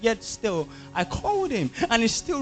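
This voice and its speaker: A man's high voice at a moderate pace, with music in the background. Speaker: spoken word artist. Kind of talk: spoken word poetry performance. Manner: intense, dramatic.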